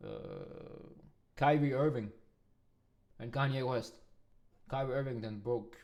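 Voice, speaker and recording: In a room with audible echo, a man with a non-native accent speaks at a moderate pace in a medium pitch, with fairly even intonation and long, frequent pauses. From Denmark. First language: not English. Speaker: music producer and reaction streamer. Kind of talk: reaction video commentary.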